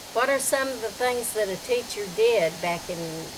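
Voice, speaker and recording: A woman's voice with lively intonation over noticeable background noise. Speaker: interviewer, former student. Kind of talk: interview questions.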